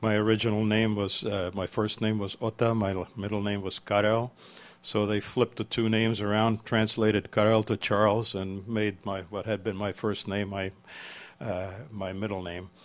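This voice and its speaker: The speaker has a Czech accent and a monotone, flat intonation at a moderate pace. The recording is very clean with a silent background. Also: man, fairly low pitch for a man. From Czech Republic (village near Prague), emigrated to US as child. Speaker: memoir author. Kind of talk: book talk with slides. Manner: halting, many repetitions and fillers.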